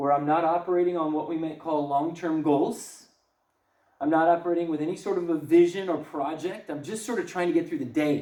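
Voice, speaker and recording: An animated tone carries through at a fairly quick pace, with audible room echo around the voice. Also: man, high pitch for a man. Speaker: parenting seminar speaker. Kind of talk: lecture. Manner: fast.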